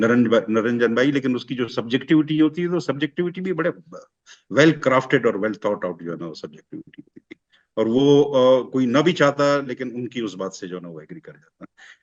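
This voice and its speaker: A man at a medium pitch talks with lively intonation and big swings in loudness. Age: 50s. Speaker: friend of the deceased, panel guest. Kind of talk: remembrance discussion. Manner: halting, many fillers.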